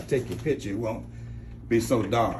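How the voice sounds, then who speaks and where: This man talks at a fairly quick pace. Noticeable background noise runs behind him. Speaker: radio host and reverend. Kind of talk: interview questions.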